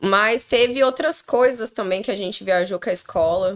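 An unremarkable speaking voice with lively intonation. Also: woman. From southern Brazil, Londrina (Paraná). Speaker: podcast guest. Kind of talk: casual chat. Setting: live stream.

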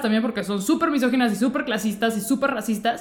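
A woman speaks with a Mexican accent. Her pace is very fast. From Mexico. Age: 30s. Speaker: comedian and journalist. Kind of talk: interview conversation.

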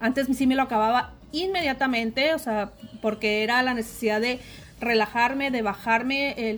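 The woman talks at a moderate pace. Her voice sits fairly high, and its pitch varies in an ordinary way. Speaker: secondary school arts teacher. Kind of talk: interview testimony. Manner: halting, many fillers and repetitions.

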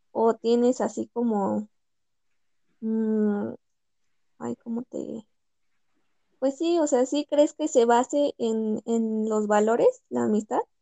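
A woman speaks at a very slow pace in a fairly high voice with a dark, mellow tone and ordinary pitch variation. The sound is dry and close, with no echo. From Mexico, Pachuca, Hidalgo. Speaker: law student. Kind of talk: casual chat.

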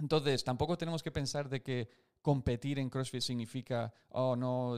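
A man with an ordinary speaking voice, medium pitch and a fairly quick pace, on a very clean recording with a silent background. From United States. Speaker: CrossFit coach and podcast co-host. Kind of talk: casual chat answering listener questions. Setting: live stream.

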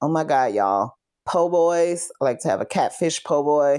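Speaking at a fairly slow pace, a woman with an American accent uses a fairly low pitch, lively intonation and an animated tone, captured on a very clean recording over a silent background. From Texas, Fort Worth. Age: 40s. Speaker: podcast host. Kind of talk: casual solo podcast talk. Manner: animated, conversational with laughs.

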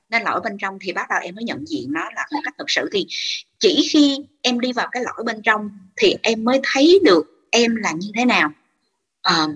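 A woman's fairly high voice swings very widely in pitch as she talks at a moderate pace. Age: 30s. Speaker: teacher. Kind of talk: casual chat. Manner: halting.

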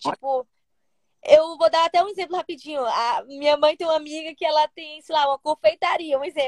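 Recorded with a dry, close sound and no echo, a woman speaks at an extremely high pitch. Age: 20s. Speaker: olympic triathlete. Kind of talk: casual interview chat.

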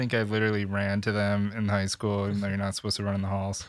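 A man speaks with an American accent at a fairly low pitch. The recording is very clean with a silent background. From Michigan. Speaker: filmmaker, production company owner. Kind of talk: casual chat.

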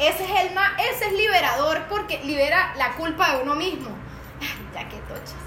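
Speaking in a raised, projected voice at an extremely high pitch, a woman talks at a moderate pace with lively intonation and big swings in loudness, amid audible room echo and noticeable background noise. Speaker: podcast co-host. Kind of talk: casual chat.

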